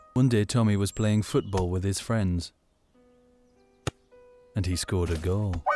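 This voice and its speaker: Fairly slow speech with long, frequent pauses over music in the background. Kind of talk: children's educational film narration.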